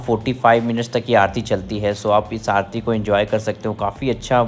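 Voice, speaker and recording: Faint music plays behind a man who talks at a moderate pace in a fairly low, monotone voice with flat intonation. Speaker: travel vlogger. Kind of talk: casual vlog chat. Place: waterside. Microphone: phone near.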